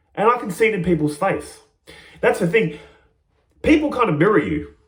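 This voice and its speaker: A man shouts loudly in an animated, excited tone at a high pitch. His pitch swings very widely at a fairly quick pace. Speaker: spiritual teacher vlogger. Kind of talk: casual monologue. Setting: small room. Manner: loud, yelling.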